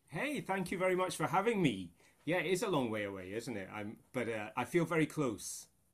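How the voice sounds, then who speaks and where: With a Scottish accent, a man talks at a fairly quick pace in a fairly high voice, with vocal fry and very wide pitch swings. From Scotland. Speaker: choral conductor and music researcher. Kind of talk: interview conversation. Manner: halting, many fillers and repetitions.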